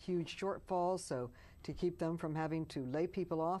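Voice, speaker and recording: A woman with an American accent has a dark, mellow tone. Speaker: politician. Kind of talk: interview answer.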